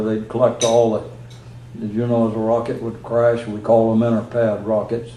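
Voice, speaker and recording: Speaking at a moderate pace, a man uses a medium pitch. Noticeable background noise runs underneath. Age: 80s+. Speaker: retired space program launch engineer. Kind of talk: public talk to an audience. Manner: casual, anecdotal, with frequent hesitations.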